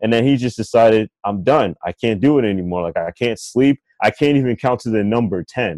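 The voice is a normal speaking voice with an American accent, moving at a fairly quick pace with ordinary pitch variation. The sound is dry and close with no echo. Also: man, medium pitch for a man. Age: 20s. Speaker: author and filmmaker. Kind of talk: casual chat.

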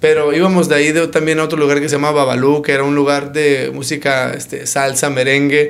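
A man talks at a fairly quick pace with a fairly high pitch and hardly any pauses. Audible room echo surrounds the recording. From Arizona, Phoenix. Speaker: doctor and local business owner. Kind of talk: casual interview.

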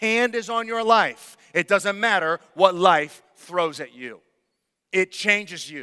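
Using a raised, projected voice, a man speaks at a very slow pace in a high pitch. His tone is bright and sharp, with ordinary pitch variation. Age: 30s. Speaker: pastor. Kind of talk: sermon. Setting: church. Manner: halting.

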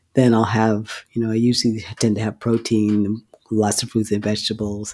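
A man's unremarkable speaking voice at a medium pitch and moderate pace, on a very clean recording with a silent background. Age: 60s. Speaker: physician. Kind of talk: interview.

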